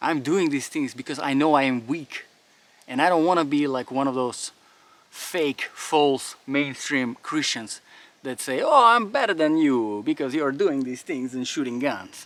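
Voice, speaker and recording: A man with a non-native accent speaks at a fairly slow pace, his fairly high voice moving with ordinary pitch variation. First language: not English. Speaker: firearms and faith YouTuber. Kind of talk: outdoor monologue during drill. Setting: outdoors. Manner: animated.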